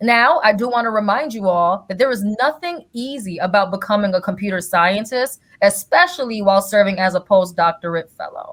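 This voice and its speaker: A woman speaks in a normal speaking voice at a medium pitch and a fairly quick pace. Her intonation is lively, and her loudness swings widely. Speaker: podcast host. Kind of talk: podcast intro. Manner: upbeat.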